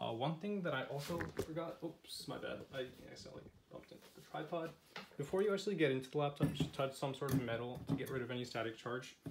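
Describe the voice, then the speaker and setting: This man talks very fast in a fairly high voice that is somewhat breathy. His pitch varies an ordinary amount, while his loudness swings widely. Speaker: tech YouTuber. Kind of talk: tutorial. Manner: casual, halting with fillers.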